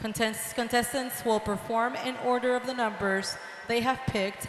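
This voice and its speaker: A woman speaks in a fairly high pitch. Noticeable background noise runs under her voice. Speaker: contest host. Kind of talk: reading rules to contestants. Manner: repeats rules slowly.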